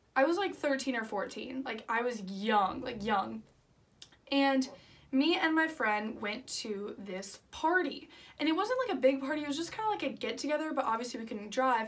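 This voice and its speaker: A woman's high-pitched, animated voice with lively intonation and audible room echo. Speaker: vlogger. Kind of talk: storytime vlog. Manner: fast.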